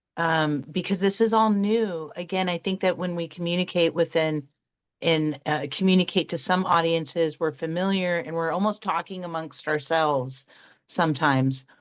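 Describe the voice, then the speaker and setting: Over a quiet background, a woman with a fairly low voice talks at a moderate pace with ordinary pitch variation. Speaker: interviewer, galactic astrology reader. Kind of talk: interview. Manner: halting, stumbling over words.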